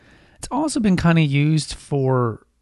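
A man speaks in a calm tone. His voice is dark and mellow. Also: quiet background. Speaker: podcast host on essential oils and herbalism. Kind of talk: solo educational monologue.

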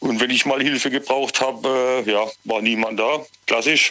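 Over noticeable background noise, a man speaks at a fairly slow pace with monotone, flat intonation. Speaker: caller. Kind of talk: radio call-in. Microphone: sounded far away at first.

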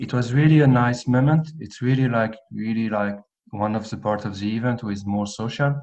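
This man has a plain, everyday voice at a medium pitch. He keeps a moderate pace with ordinary pitch variation. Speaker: amateur Gaelic football player and IT officer.

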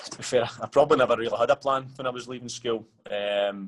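The speaker is a man with a Scottish accent. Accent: Scottish (Ayrshire). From Scotland, Ayrshire (Ayr). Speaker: professional footballer. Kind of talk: casual interview. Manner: hesitant, many fillers.

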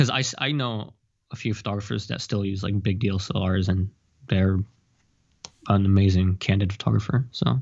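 This man talks at a fairly quick pace with ordinary pitch variation. He leaves long, frequent pauses. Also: fairly low pitch for a man. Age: 20s. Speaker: photographer and fashion model. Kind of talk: interview.

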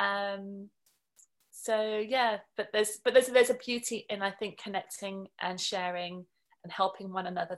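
A woman with a normal speaking voice talks in a medium pitch with fairly even intonation. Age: 40s. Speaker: cancer survivor. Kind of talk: casual interview. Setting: remote call.

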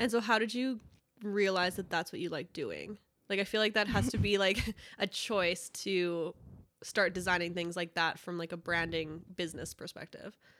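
A woman in a Canadian accent, with a normal speaking voice, a medium pitch and a moderate pace. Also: ordinary pitch variation. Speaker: podcast host. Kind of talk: casual interview. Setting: studio.

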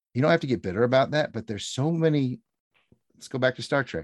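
A man speaks at a fairly quick pace. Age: 40s. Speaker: pop culture fan guest. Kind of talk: casual chat.

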